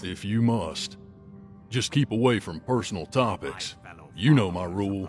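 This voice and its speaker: A man's put-on character voice, fairly low in pitch, at a moderate pace with long, frequent pauses over clear music in the background. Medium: machinima. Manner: terse.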